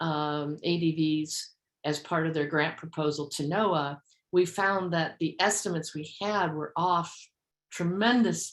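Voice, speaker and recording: An unremarkable speaking voice proceeds at a fairly slow pace with fairly even intonation. The recording is very clean, with a silent background. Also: woman, fairly low pitch for a woman. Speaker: work group coordinator. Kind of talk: meeting presentation.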